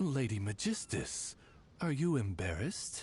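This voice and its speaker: A man's put-on character voice at medium pitch, with very wide pitch swings, a moderate pace, and clear background noise. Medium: video game. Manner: polite, formal, butler-like.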